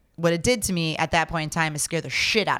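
With a plain, everyday voice, a woman in an American accent speaks at a fairly quick pace and fairly low pitch in a very clean recording with a silent background. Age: 40s. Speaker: cider maker and brewery owner. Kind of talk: casual chat. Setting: on location recording.

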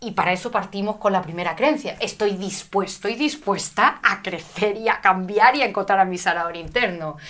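Noticeable background noise sits behind a woman speaking at a medium pitch. Her pitch varies in an ordinary way, and she hardly pauses. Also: moderate pace. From Spain, Madrid. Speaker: spiritual teacher and speaker. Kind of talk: interview.

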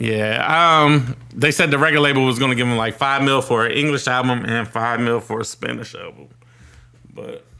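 A man's medium-pitched voice, an unremarkable speaking voice, at moderate speed. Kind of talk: hyped mock radio DJ intro in casual banter. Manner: hyped, playful, sing-song like a radio jock.

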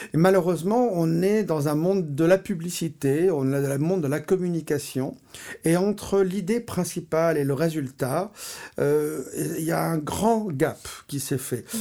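At a fairly slow pace, a man's dark, mellow voice shows ordinary pitch variation. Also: fairly high pitch for a man. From Paris, France. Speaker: artist and photographer. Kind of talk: interview.

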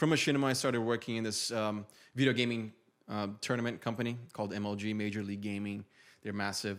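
The speech runs at a very fast pace with fairly even intonation, in a Brazilian accent. The recording is very clean, with a silent background. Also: man, fairly low pitch for a man. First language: Portuguese. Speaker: YouTuber and men's style coach. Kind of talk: casual podcast interview.

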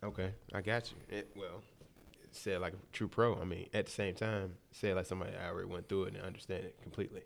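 The speech races along at a very fast pace in an American accent. Its loudness swings widely. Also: man, very deep, low pitch for a man. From Detroit. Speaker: radio show host and DJ. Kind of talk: casual chat. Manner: animated.

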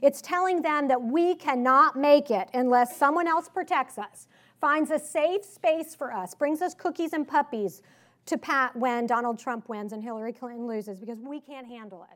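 A woman's high, animated voice with a slight Southern US accent, lively intonation and big swings in loudness, on a very clean recording with a silent background. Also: moderate pace. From Richmond, Virginia, US South. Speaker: author and political speaker. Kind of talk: conference speech. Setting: stage with audience. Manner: casual, conversational, animated.

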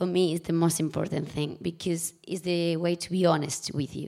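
In a Spanish accent, a woman speaks at a moderate pace and fairly low pitch, with a dark, mellow tone and fairly even intonation. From Spain. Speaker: TV and film producer. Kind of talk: live panel discussion. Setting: stage with audience.

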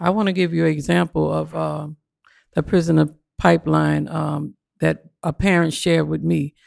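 A woman speaks in a New Orleans accent. The recording is very clean, with a silent background and a dry, close sound with no echo. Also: moderate pace. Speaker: parent union organizer. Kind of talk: casual chat. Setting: studio.

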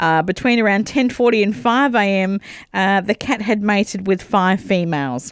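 A woman's medium-pitched voice with lively intonation, very even loudness and a moderate pace, on a very clean recording with a silent background. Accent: Australian. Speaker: radio co-host. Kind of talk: casual radio chat. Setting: studio.

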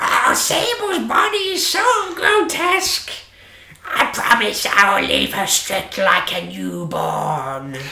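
Someone performs a put-on character voice at a fairly slow pace. Background noise is clearly audible. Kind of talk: melodramatic villain speech. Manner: theatrically menacing, over the top.

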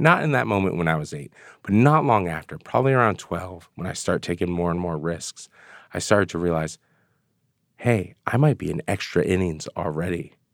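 With lively intonation, a man speaks at a very deep, low pitch. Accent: American. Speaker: author. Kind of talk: interview.

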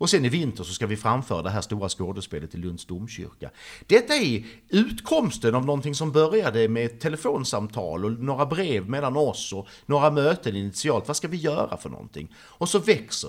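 He is a man with a medium pitch and vocal fry. His pitch swings very widely. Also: moderate pace, big swings in loudness. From Sweden, Trelleborg (Skåne). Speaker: artist. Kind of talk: interview.

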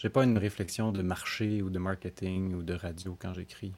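A man with a Quebec accent talks in a fairly low pitch with fairly even intonation. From Montreal, Quebec. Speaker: singer-songwriter. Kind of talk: interview. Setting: remote from his home.

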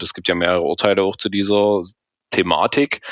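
A man's fairly low voice at a moderate pace, with a dry, close sound and no echo. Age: 30s. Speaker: fan support activist. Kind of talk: interview. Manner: halting, many fillers.

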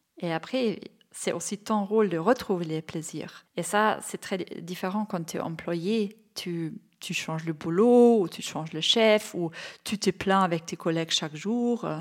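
Fairly slow speech from a woman with a German accent, ordinary pitch variation, very clean recording and silent background. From Bavaria, Germany. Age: 40s. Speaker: entrepreneur, childcare company founder. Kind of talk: interview. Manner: hesitant, with fillers.

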